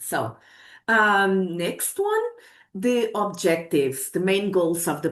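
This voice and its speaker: A Portuguese accent at a fairly slow pace against a quiet background. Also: woman. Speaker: academic researcher presenting a project. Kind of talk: webinar presentation. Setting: online webinar. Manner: hesitant, with self-corrections.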